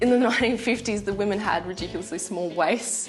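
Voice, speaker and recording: A woman with an Australian accent and ordinary pitch variation, music in the background. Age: 20s. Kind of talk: TV documentary interview answer.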